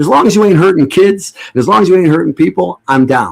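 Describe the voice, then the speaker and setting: A man talks at a fairly quick pace in a fairly high pitch. His tone is animated, with vocal fry. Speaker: livestream talk show host. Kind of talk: casual monologue. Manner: fast.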